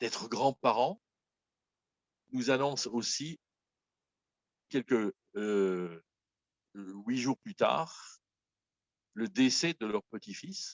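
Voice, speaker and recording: The speech moves at a very slow pace with long, frequent pauses. Its intonation is lively. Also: man, medium pitch for a man. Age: 70s. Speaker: pastor. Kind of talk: sermon. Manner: halting.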